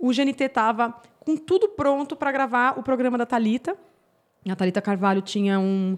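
A woman with an ordinary speaking voice, ordinary pitch variation and a moderate pace, on a very clean recording with a silent background. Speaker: gardening YouTuber and former journalist. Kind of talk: podcast interview.

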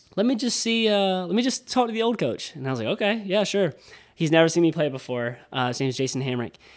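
A man with an American accent, very fast pace and very wide pitch swings. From Lake City, Florida. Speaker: baseball player and singer-songwriter. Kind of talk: interview.

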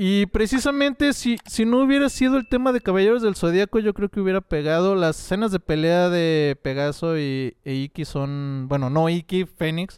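With a Mexican accent, the speaker moves at a moderate pace with very wide pitch swings and hardly any pauses. The recording is very clean, with a silent background and a dry, close sound with no echo. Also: man, high pitch for a man. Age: 30s. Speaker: podcast guest, comics fan. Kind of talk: casual chat.

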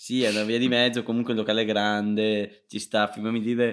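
The speaker talks at a fairly quick pace in a flat, monotone delivery. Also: man. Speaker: podcast co-host. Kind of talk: casual chat. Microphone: new quality microphone.

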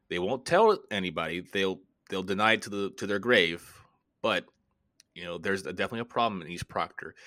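Very fast speech in an American accent comes with a bright, sharp tone and fairly even intonation, over a very clean recording with a silent background. Loudness swings widely, broken by long, frequent pauses. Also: man, fairly low pitch for a man. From Florida. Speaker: podcast host and film critic. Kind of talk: casual chat.

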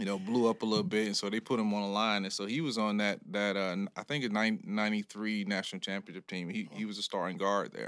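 A man with an American accent talks at a very fast pace with hardly any pauses, using a fairly low pitch and fairly even intonation on a very clean recording with a silent background. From US South, Jacksonville, Florida. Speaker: high school football coach. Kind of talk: casual interview. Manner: halting, many fillers and restarts.

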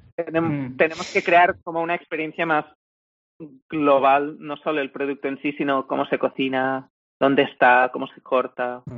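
A man talks in a plain, everyday voice with a fairly high pitch and fairly even intonation. His pace is moderate, but his loudness swings widely. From Spain, small village. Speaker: co-founder of a plant-based meat company. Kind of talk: interview.

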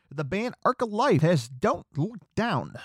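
Speaking at a moderate pace with an American accent, a man makes very wide pitch swings, in a dry, close sound with no echo. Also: very clean recording, silent background. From Chicago suburbs, US Midwest. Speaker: podcast host covering pro wrestling and rock/metal news. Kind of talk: casual solo podcast, news rundown. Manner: chatty, enthusiastic.

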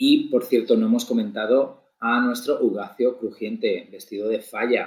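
A man with a Spanish accent speaks at a fairly slow pace. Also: hardly any pauses. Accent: Peninsular Spanish. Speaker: podcast co-host. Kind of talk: casual chat.

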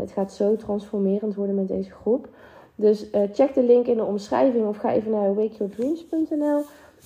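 Ordinary pitch variation at a moderate pace. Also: woman. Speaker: podcast host and mindset coach. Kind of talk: motivational monologue; sales pitch. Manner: animated.

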